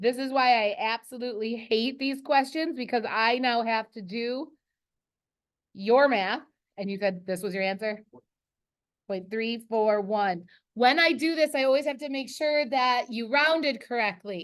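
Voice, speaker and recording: The quiet background carries a woman's voice at a fairly high pitch. She speaks at a fairly slow pace with ordinary pitch variation. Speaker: high school earth science teacher. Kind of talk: classroom lesson. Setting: classroom. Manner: loud.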